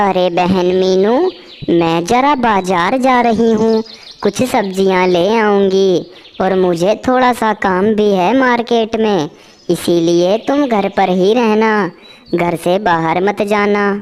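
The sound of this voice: A female-sounding voice performs a cartoonish character at medium pitch. The delivery comes at a fairly slow pace.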